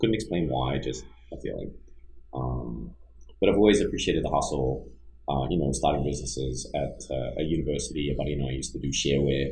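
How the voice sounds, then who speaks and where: A man with an Australian accent, a very deep, low pitch and vocal fry, at a very fast pace amid audible room echo. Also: ordinary pitch variation. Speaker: business entrepreneur and engineer. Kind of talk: casual podcast interview.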